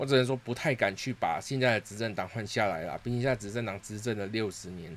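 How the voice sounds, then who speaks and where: In a very clean recording with a silent background, a man speaks at a fairly quick pace with a fairly low pitch and ordinary pitch variation. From Singapore. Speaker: podcast host. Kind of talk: casual solo monologue.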